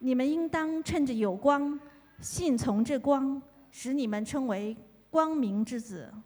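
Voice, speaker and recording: A woman with a Chinese accent talks at a high pitch. She goes at a fairly slow pace with lively intonation. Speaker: scripture reader. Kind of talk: reading aloud.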